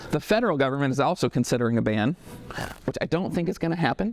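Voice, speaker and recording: Recorded dry and close with no echo, a man speaks with very wide swings in pitch. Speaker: marketing agency owner giving a talk. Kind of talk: talk to a business audience. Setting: stage with live audience, no microphone. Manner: fast.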